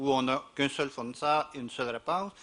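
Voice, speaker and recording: A man with a strong Quebec accent speaks at a fairly quick pace, his fairly high voice bright and sharp in tone. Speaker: university representative, panelist. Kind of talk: panel discussion. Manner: halting, many repetitions.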